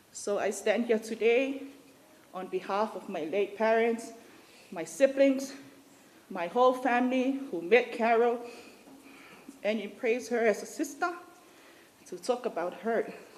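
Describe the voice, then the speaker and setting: Speaking with a Samoan accent at a fairly slow pace, a woman leaves long, frequent pauses and shows big swings in loudness. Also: fairly high pitch for a woman, ordinary pitch variation. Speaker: family friend giving a eulogy. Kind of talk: eulogy.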